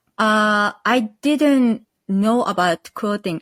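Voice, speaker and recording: Here a woman speaks with a Japanese accent. Her pace is very slow. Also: dry, close sound with no echo. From northern Japan, Akita. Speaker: quilt pattern designer. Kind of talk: interview. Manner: halting.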